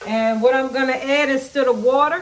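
With audible room echo, a woman speaks at a high pitch in a fairly bright tone with fairly even intonation. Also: moderate pace.

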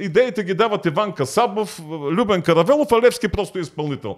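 A man's high-pitched voice, fairly quick in pace with lively intonation, over a quiet background. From Bulgaria. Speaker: history professor; podcast guest. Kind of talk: interview. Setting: studio. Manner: halting. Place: studio. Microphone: studio mic.

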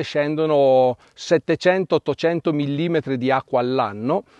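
Against a quiet background with dry sound and no echo, a man speaks in a fairly high voice with ordinary pitch variation. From Piedmont, Italy (Asti area); Piedmont, Italy. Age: 50s. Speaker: winemaker. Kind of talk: interview monologue. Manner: hesitant with fillers. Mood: calm, informative. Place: farm.

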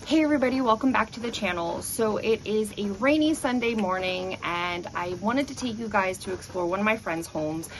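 Light background noise sits behind a woman's voice. She talks at a fairly quick pace with lively intonation. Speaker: home tour vlogger. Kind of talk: casual vlog chat. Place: street. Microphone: phone near.

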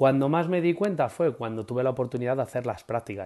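Speaking with a Castilian accent, a man has a dark, mellow tone and lively intonation. The background is quiet. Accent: Castilian Spanish (central Spain). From Spain, Madrid. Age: 30s. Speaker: preschool teacher. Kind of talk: interview. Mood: enthusiastic, warm. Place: home room. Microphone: earbuds.

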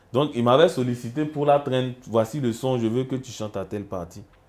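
A man does the talking. His voice shows ordinary pitch variation. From Côte d'Ivoire. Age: young. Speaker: musician; guest. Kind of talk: casual interview. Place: studio. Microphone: lapel.

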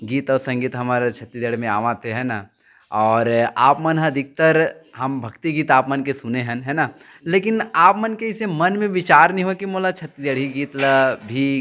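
The intonation is lively from this man. He has a bright, sharp tone. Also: moderate pace. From Chhattisgarh, India. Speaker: YouTube interviewer. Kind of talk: interview. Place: home room. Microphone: handheld.

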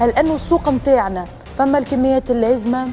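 Clear music plays behind a woman whose voice sits high. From Tunisia. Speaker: TV talk show host. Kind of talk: studio debate moderation. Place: studio. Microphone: lapel.

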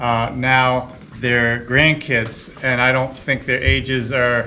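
A man talks at a very slow pace while light background noise sits behind him. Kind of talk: casual vlog explanation. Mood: calm, pleased. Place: workshop. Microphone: camera far.

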